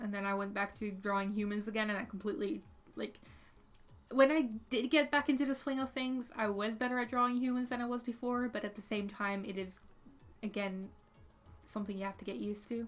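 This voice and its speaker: Speaking fairly quickly in a Dutch accent, a woman keeps her fairly high voice at a fairly even intonation. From Netherlands. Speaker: artist streamer. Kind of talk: casual livestream chat. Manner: hesitant, many fillers.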